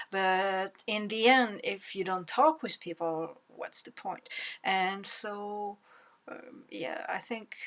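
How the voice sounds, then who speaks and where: In a very clean recording with a silent background, a woman with a French accent speaks very slowly at a medium pitch with ordinary pitch variation. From France. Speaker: language learner vlogger. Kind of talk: casual monologue vlog. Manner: halting, many fillers and repetitions.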